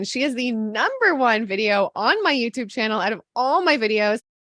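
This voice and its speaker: Her high voice moving at a fairly quick pace with lively intonation, a woman speaks in a dry, close sound with no echo. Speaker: YouTube channel host interviewer. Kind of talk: interview host talking to camera.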